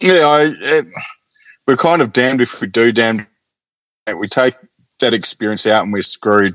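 The speaker has an Australian accent. Long pauses come often. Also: man, medium pitch for a man, lively intonation, moderate pace. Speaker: football fan. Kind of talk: casual chat. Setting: video call. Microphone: microphone technical problem.

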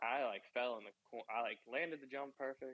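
A man speaks with a Mid-Atlantic American accent at a moderate pace. The sound is dry and close, with no echo. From Maryland, US. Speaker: professional motocross rider. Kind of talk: interview. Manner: casual, filler-heavy.

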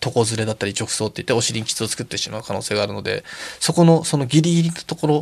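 This man speaks very fast at a medium pitch, his intonation lively. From Tokyo, Japan (Akiruno). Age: 40s. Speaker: Paralympic alpine skier. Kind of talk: interview.

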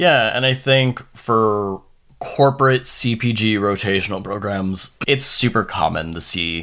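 A man at a very slow pace. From Long Island, New York. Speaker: HR professional. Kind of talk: casual interview chat.

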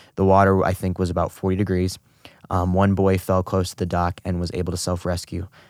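A man with an American accent speaks at a fairly quick pace. His very deep, low voice stays monotone and flat. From US Midwest, St. Louis, Missouri. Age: young. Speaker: near-drowning survivor and student. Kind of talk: interview testimony.

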